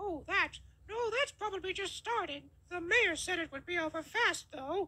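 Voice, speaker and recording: A woman's put-on character voice, squeaky and extremely high in pitch, with ordinary pitch variation. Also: moderate pace. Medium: fan dub.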